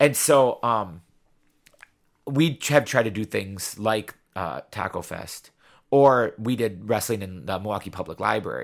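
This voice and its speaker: Recorded very cleanly against a silent background, a man with an unremarkable speaking voice talks at a fairly slow pace with medium pitch, ordinary pitch variation and big swings in loudness. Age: 40s. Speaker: teacher and wrestling show promoter. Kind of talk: casual chat.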